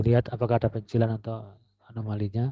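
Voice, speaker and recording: Soft-spoken and fairly quick, a man with a medium pitch and a dark, mellow tone talks in a flat monotone, recorded dry and close with no echo over a quiet background. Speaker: university lecturer. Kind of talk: lecture.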